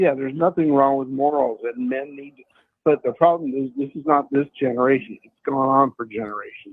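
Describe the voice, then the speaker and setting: This is a man with a normal speaking voice. He talks at a moderate pace and a medium pitch. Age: 60s. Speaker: radio caller. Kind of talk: call-in radio chat.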